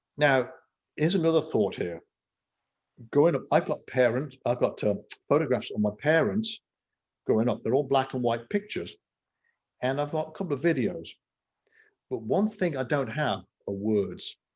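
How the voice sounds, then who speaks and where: Very wide pitch swings in a West Midlands accent, a moderate pace with long, frequent pauses, and a quiet background. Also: man, medium pitch for a man. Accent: English Midlands (Coventry). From England, Coventry. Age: 60s. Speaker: entrepreneur and author. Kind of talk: interview conversation.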